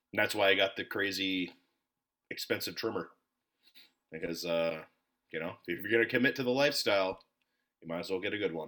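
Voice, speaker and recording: A very deep, low male voice with a bright, sharp tone and an American accent, fairly quick pace, ordinary pitch variation and long, frequent pauses. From Minnesota. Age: 30s. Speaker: podcast host. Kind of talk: casual chat.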